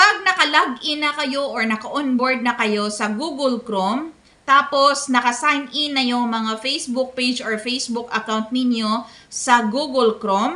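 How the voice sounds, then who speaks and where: A woman's raised, projected voice with a high pitch at a fairly slow pace. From Philippines, Visayas. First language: Bisaya (speaking Tagalog). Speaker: content creator. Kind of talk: tutorial. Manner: polite.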